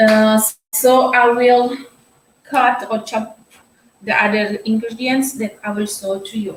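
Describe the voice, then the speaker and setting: A woman speaks at a fairly slow pace in a fairly high voice. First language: not English (Portuguese or Tetum). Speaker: cooking vlogger. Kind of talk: live-stream cooking tutorial. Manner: halting, frequent fillers.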